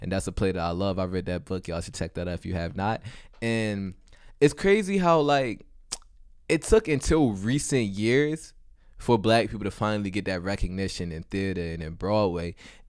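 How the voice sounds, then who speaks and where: A plain, everyday voice from a man with an American accent, fairly low in pitch, with lively intonation at a moderate pace in a very clean recording with a silent background. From West Baltimore, Maryland. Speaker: student actor. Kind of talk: podcast interview.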